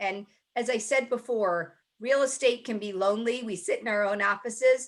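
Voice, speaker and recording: Here a woman speaks with an American accent. Her voice is fairly high, with ordinary pitch variation. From US, Baltimore, Maryland. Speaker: speaker and network leader. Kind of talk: webinar talk with Q&A. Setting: video call.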